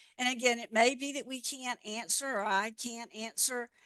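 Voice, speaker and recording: A woman with a Southern accent and a bright, sharp tone, at a moderate pace with fairly even intonation, in a dry, close sound with no echo. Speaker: regulatory affairs expert, presenter. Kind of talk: webinar Q&A. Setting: online webinar.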